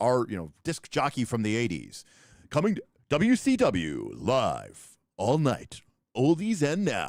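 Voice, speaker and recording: A man with very wide pitch swings. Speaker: streamer.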